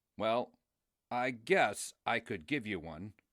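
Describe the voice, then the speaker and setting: A man's put-on character voice at medium pitch, with lively intonation and a fairly slow pace, in a very clean recording with a silent background and a dry, close sound with no echo. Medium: read story. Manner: gruff, shouting.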